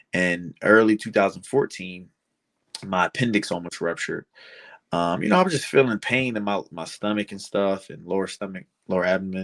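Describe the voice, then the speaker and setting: A man talks fairly quickly in a normal speaking voice, fairly low in pitch with fairly even intonation and big swings in loudness. The recording is very clean, dry and close, with a silent background and no echo. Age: 20s. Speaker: pro wrestler. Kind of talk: casual chat.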